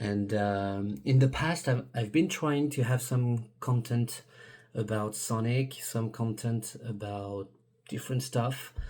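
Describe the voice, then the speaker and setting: Recorded very cleanly over a silent background, a man speaks at a very slow pace with a medium pitch and ordinary pitch variation. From France. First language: French. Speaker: YouTuber. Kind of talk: video monologue. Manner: halting, many fillers and restarts.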